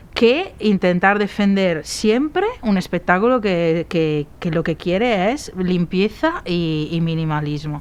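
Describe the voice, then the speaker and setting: Speaking with an Italian accent, a woman at medium pitch goes at a very slow pace with hardly any pauses. Background noise is noticeable. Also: ordinary pitch variation. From Italy, Padua. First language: Italian (speaking Spanish). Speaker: set designer. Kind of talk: interview. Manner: halting.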